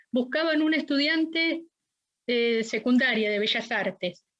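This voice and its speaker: At a moderate pace and with ordinary pitch variation, a woman talks in an ordinary speaking voice. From Argentina, La Plata. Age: 60s. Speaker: witness, dictatorship survivor. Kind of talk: court testimony. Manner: formal.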